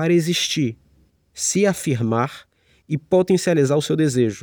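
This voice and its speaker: The recording is very clean, with a silent background and a dry, close sound with no echo. A man speaks with lively intonation. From Salvador, Bahia, Brazil. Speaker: writer and podcast host. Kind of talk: solo reflective monologue. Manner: hesitant, with fillers and repetitions.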